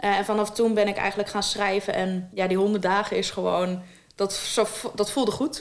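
A woman speaks in a plain, everyday voice at a moderate pace. Her pitch is medium, her intonation fairly even and her loudness very even. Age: 20s. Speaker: author with diabetes. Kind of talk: interview. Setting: her own studio.

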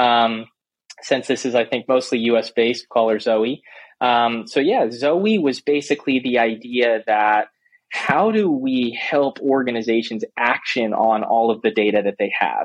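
Speaking in a normal speaking voice with an American accent, a man talks at a fairly slow pace, his medium pitch, fairly even intonation and very even loudness holding throughout. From US South, Florida. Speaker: startup CEO. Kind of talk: interview.

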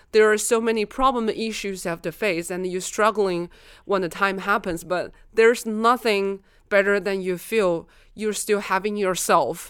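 A woman speaks at a moderate pace in a normal speaking voice, on a very clean recording with a silent background. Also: medium pitch for a woman. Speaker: innovation consultant. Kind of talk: casual chat. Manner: giggly, upbeat.

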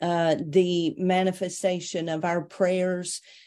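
Against a quiet background, a woman speaks with a Tennessee accent. Her pitch is fairly low and her tone dark and mellow. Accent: Southern US (Tennessee). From US South, Tennessee (near Chattanooga). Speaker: minister. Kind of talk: interview testimony.

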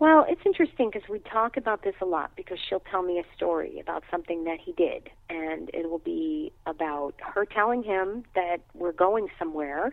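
In a New York accent, a woman talks at a moderate pace with hardly any pauses, her pitch swinging very widely. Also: medium pitch for a woman. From New York City. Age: 50s. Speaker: acupuncture physician. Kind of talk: interview.

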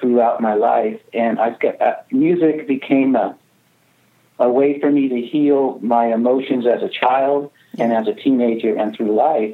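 A man with an American accent speaks at a fairly slow pace in a medium pitch. He has an unremarkable speaking voice with fairly even intonation. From US West Coast, California redwoods. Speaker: singer-songwriter and record label founder. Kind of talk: interview conversation.

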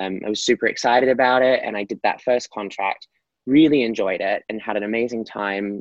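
This man talks at a fairly quick pace in an Australian accent. His pitch sits in the medium range. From Australia, Gold Coast. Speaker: professional dancer and performer. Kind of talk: interview.

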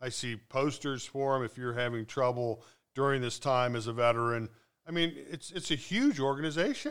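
In a very clean recording with a silent background, a man with a plain, everyday voice and a medium pitch speaks at a moderate pace with ordinary pitch variation. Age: 60s. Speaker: podcast co-host. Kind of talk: casual chat.

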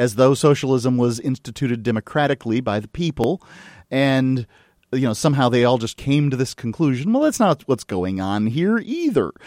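A man's unremarkable speaking voice with an American accent, medium in pitch with ordinary pitch variation, at a fairly quick pace, in a very clean recording with a silent background and a dry, close sound with no echo. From Florida. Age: 40s. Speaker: radio host. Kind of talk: interview; casual chat. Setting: studio.

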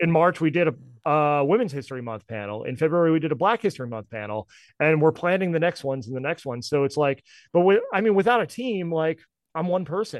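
Speaking very fast, a man with a fairly high pitch moves through very wide pitch swings. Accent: American. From US Northeast, northern New Jersey. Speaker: music collective founder. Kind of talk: podcast interview.

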